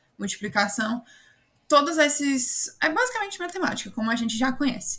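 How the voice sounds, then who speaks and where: The voice is a woman's. She speaks at a moderate pace. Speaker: student tutor. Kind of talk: online class tutorial. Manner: casual.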